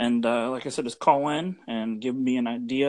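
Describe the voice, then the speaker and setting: A plain, everyday voice with ordinary pitch variation sits over a quiet background. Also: man. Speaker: podcaster. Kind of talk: voice message.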